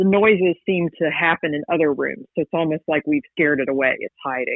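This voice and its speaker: A woman with an American accent speaks in a normal speaking voice, fairly low in pitch, with ordinary pitch variation. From West Virginia. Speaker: paranormal investigator and author. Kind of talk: interview.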